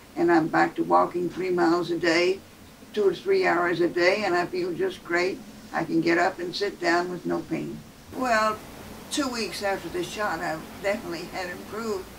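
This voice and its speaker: Over noticeable background noise, a woman with a fairly low pitch speaks at a moderate pace with fairly even intonation. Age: 80s+. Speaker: patient. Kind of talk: patient testimonial. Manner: casual, slightly hesitant. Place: office.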